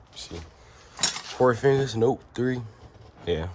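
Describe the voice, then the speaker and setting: A man at medium pitch with lively intonation and a fairly slow pace, over noticeable background noise. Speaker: car enthusiast vlogger. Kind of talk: casual vlog. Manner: halting.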